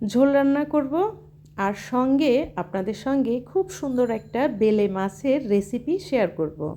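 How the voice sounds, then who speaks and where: A woman with a dark, mellow tone speaks in a high voice that swings very widely in pitch. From Bangladesh, Jessore. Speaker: cooking and lifestyle vlogger, housewife. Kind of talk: casual vlog narration.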